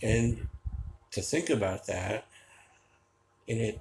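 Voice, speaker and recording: A man speaks with an American accent. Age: 60s. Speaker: vlogger. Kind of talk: personal storytelling monologue. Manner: casual, with filler hesitations.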